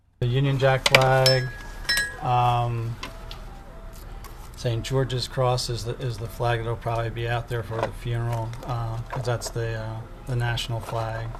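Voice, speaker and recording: Over noticeable background noise and audible room echo, a man at medium pitch speaks at a fairly slow pace in a monotone, flat intonation, with long, frequent pauses. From England. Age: 60s. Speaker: gift shop owner. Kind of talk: interview. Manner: halting.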